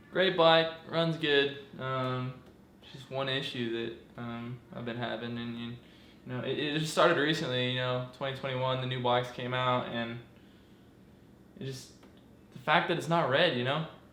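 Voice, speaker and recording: At a moderate pace and medium pitch, a man talks with fairly even intonation, big swings in loudness, and long, frequent pauses, with audible room echo and noticeable background noise. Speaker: dirt bike hobbyist mechanic. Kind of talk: casual vlog tutorial. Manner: halting, many fillers.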